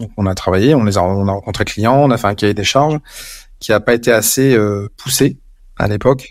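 A man's voice at a fairly quick pace with ordinary pitch variation. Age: 50s. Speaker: communication agency director. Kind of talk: interview. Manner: halting.

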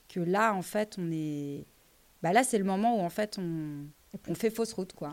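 A woman speaks at a fairly slow pace with a medium pitch and ordinary pitch variation, leaving long, frequent pauses, on a very clean recording with a silent background. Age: 30s. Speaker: entrepreneur. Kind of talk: interview. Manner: halting.

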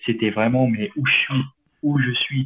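This is a man talking. His voice sits at a medium pitch. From France, Alps (Chamonix). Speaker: ice hockey player. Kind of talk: interview. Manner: hesitant, many fillers.

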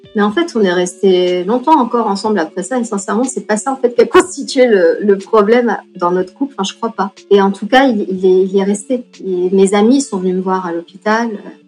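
Music plays behind a woman speaking at a fairly quick pace with hardly any pauses. Her pitch sits in the medium range and varies normally. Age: 40s. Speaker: patient sharing her story. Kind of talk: testimony. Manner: halting, frequent repetitions and hesitations.

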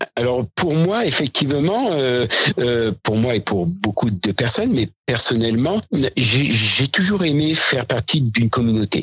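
The speaker goes at a fairly slow pace, keeping the loudness very even. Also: man, medium pitch for a man. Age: 60s. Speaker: diabetes patient advocate. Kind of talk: interview. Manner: hesitant, many fillers.

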